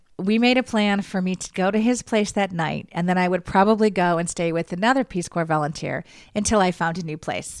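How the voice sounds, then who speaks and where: Here a woman with an American accent speaks at a fairly quick pace in a normal speaking voice. Her pitch is medium with ordinary variation, on a very clean recording with a silent background. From United States. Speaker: podcast host. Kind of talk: casual monologue.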